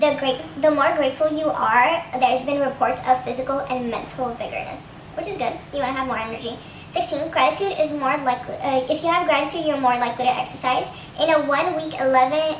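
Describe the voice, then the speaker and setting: Over noticeable background noise, a woman speaks at a very fast pace in a high pitch with ordinary pitch variation. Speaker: gratitude vlogger. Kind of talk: casual talk to camera, reading an article aloud.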